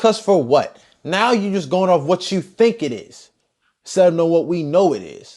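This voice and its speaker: Animated and high-pitched, a man talks at a moderate pace with a Baltimore accent. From Baltimore, Maryland. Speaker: podcast guest. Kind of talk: casual chat.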